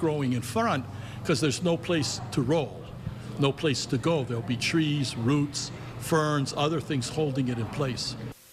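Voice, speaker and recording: A man's fairly high voice, rising and falling in an ordinary way, comes through at a moderate speed against noticeable background noise. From Hawaii. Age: 70s. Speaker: real estate developer. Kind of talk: news interview.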